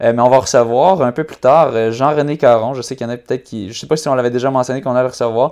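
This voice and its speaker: With a quiet background, a man talks in a fairly even intonation. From Quebec. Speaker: running podcast host; podcast host. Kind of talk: casual chat. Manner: halting, many fillers. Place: home room. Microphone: earbuds.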